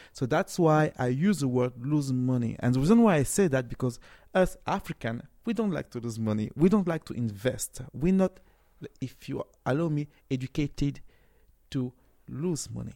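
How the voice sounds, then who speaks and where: Speaking at a moderate pace with a French accent, a man uses a medium pitch and lively intonation in a dark, mellow tone. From France, Cameroonian family. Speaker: tech startup CEO. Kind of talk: interview. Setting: tech conference.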